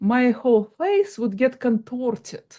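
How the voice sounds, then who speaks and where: A woman with a Russian accent speaks high, her pitch swinging very widely, on a very clean recording with a silent background. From Soviet Union. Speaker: hypnotist. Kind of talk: interview.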